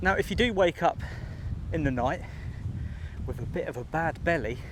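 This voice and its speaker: Music plays in the background as a man speaks. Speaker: travel vlogger. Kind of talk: walking vlog to camera. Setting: outdoors on a beach. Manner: talking quietly.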